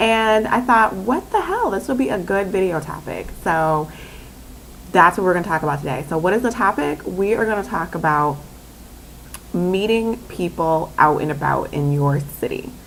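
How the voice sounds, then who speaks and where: In an animated tone, a woman of medium pitch speaks with lively intonation. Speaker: vlogger. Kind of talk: casual vlog talk.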